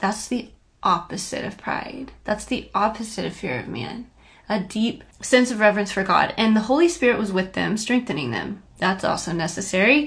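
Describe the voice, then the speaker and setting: Lively intonation and vocal fry mark this woman's fairly high-pitched voice at a moderate pace. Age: 30s. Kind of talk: devotional monologue. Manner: casual, conversational.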